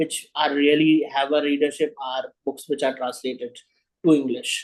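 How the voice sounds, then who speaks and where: A man with an Indian accent speaks at a fairly slow pace in a fairly high pitch. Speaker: writer. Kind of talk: interview. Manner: halting.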